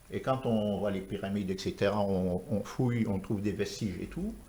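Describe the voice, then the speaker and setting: A man speaks at a fairly low pitch with ordinary pitch variation. The room echo is audible. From Senegal (Rufisque, Dakar). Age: 60s. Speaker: architect. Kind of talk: TV talk show interview.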